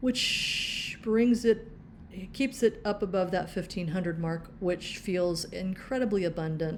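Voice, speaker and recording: In a plain, everyday voice at medium pitch, a woman speaks at a fairly slow pace with ordinary pitch variation. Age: 60s. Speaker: personal finance vlogger. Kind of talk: budgeting tutorial walkthrough. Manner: casual, with frequent filler words.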